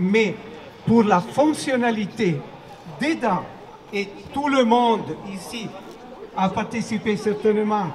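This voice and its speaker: A man's high voice with an Italian accent, very slow delivery broken by long, frequent pauses, ordinary pitch variation, and noticeable background noise. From Italy. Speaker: opera performer. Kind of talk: public speech at rally. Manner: halting.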